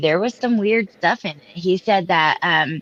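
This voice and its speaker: A woman speaks at a fairly slow pace in an ordinary speaking voice, medium in pitch with ordinary pitch variation. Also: dry, close sound with no echo. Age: 30s. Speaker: live stream panel host. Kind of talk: casual chat. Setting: live stream.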